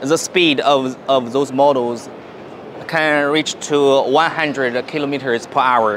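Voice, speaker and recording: A man with a Chinese accent speaks very slowly in a fairly high voice, his loudness very even and his intonation fairly even, over light background noise. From China. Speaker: company representative. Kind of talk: product presentation. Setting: exhibition stand at a motorcycle show. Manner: halting, with fillers. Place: hall. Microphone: phone near.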